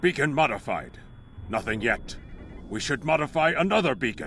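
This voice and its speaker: A man's put-on character voice, fairly high in pitch, at a moderate pace over clear background noise. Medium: video game. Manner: crisp, formal.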